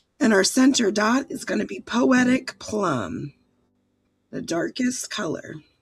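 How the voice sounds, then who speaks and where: Very wide pitch swings, vocal fry, big swings in loudness and a fairly slow pace. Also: woman, fairly high pitch for a woman. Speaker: art instructor. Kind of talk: tutorial.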